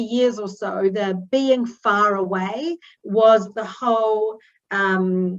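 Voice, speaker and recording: Her intonation fairly even, a woman talks in a New Zealand accent. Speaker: newspaper editor, journalist. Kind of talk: talk to an online audience. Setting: video call. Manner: many fillers (um, uh).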